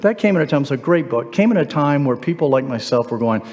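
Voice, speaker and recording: Over noticeable background noise, a man talks very fast at a fairly high pitch, with very wide pitch swings. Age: 60s. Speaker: guest speaker at a men's church event. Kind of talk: motivational talk. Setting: church hall with live audience.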